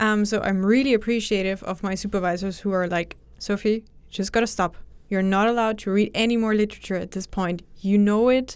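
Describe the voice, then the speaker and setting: A woman's normal speaking voice at a medium pitch, fairly quick and fairly even in intonation, on a very clean recording with a silent background. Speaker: doctoral candidate. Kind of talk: casual interview.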